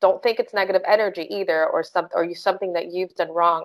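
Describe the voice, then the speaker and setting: Ordinary pitch variation from a woman at medium pitch. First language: not English. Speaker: crystal Reiki master, podcast co-host. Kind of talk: casual chat.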